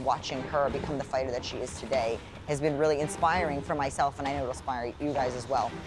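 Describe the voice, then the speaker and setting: A woman's very deep, low voice in an American accent, with ordinary pitch variation and music in the background. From New York (Bronx). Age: 40s. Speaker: professional boxer. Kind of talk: vlog talk to camera.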